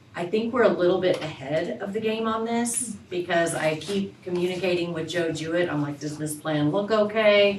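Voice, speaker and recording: Amid noticeable background noise and audible room echo, a woman with a fairly low pitch talks at a moderate pace with hardly any pauses and ordinary pitch variation. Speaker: school staff presenting to board. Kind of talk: board meeting presentation.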